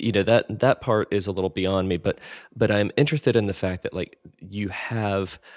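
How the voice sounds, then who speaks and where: A man with an American accent has an unremarkable speaking voice, fairly low in pitch with ordinary pitch variation. The sound is dry and close with no echo. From US South. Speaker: podcast host. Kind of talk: interview.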